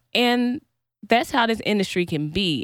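A woman with an American accent, an ordinary speaking voice, lively intonation and a fairly slow pace, on a very clean recording with a silent background. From US South, North Carolina; high school in Kansas City. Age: 20s. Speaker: singer and recording artist. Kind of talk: casual chat. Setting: recording studio.

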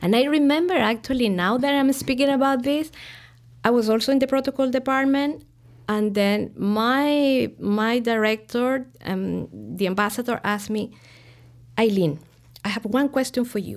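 A woman speaks at a high pitch with ordinary pitch variation and a moderate pace. The recording is very clean, with a silent background. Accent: Spanish. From Chile, Santiago. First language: Spanish. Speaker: diplomat. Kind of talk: interview.

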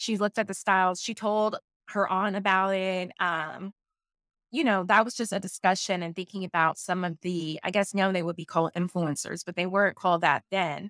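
Speaking in a plain, everyday voice with an American accent, a woman keeps a medium pitch, fairly even intonation and a moderate pace. The recording is very clean with a silent background and has a dry, close sound with no echo. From US South. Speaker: racial justice professional. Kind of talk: book club discussion.

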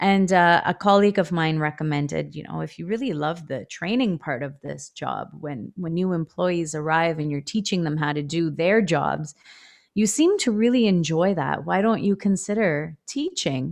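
With a Canadian accent, a woman talks in an ordinary speaking voice at a moderate pace with hardly any pauses. Her pitch is fairly low with ordinary variation, against a quiet background. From Ontario, Canada (Etobicoke, Toronto). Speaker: elementary school teacher. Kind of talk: casual interview chat.

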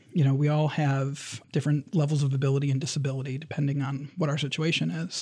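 Talking very fast with hardly any pauses, a man with an American accent has a somewhat breathy, dark, mellow tone, a fairly high pitch and fairly even intonation. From Michigan, Lansing area. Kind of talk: interview. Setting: studio.

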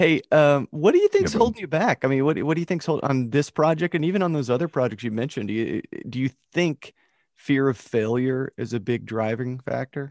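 This man has an unremarkable speaking voice, fairly high in pitch, with lively intonation and a fairly quick pace. The sound is dry and close with no echo, and the background is quiet. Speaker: podcast host. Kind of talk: casual chat.

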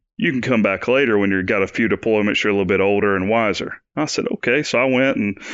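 A man with an Alabama accent talks at a medium pitch with fairly even intonation. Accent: Southern US (Alabama). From US South, northeast Alabama. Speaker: Army veteran and law enforcement agent. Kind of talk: interview, personal story.

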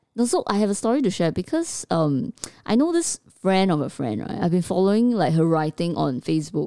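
A woman's fairly quick, dark, mellow voice with a Singaporean accent, medium in pitch with very wide pitch swings, in a dry, close sound with no echo. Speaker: podcast co-host. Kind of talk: casual chat.

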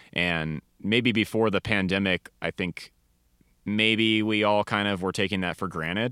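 In an ordinary speaking voice, a man with an American accent speaks at a fairly slow pace and fairly low pitch, his intonation fairly even. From US Pacific Northwest, Seattle area. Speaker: metal musician. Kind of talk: casual chat.

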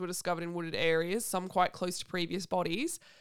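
On a very clean recording with a silent background, a woman talks in an Australian accent. Her pitch sits in the medium range. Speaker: podcast host. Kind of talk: casual chat.

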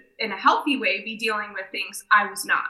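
A woman with an American accent, a plain, everyday voice, fairly even intonation and a moderate pace. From southeast Michigan. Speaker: franchise development director. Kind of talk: casual interview chat.

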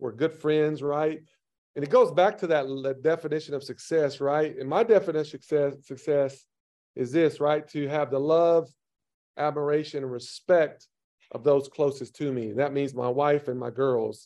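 The man's voice sits at a fairly high pitch with a dark, mellow tone and fairly even intonation. The background is quiet. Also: moderate pace. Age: 50s. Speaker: strength and conditioning coach. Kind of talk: casual interview.

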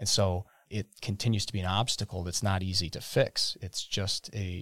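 In an Upper Midwest accent, a man talks with a very deep, low pitch and fairly even intonation. The recording is very clean, with a silent background. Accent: Upper Midwest American. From Wisconsin. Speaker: economic development and chamber of commerce director. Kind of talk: casual interview.

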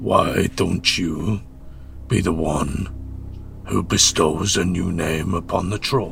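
A man's put-on character voice, very deep and low, at a fairly slow pace with long, frequent pauses and clear background noise. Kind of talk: mock-theatrical declamation. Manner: grandiloquent, sardonic, rhyming verse.

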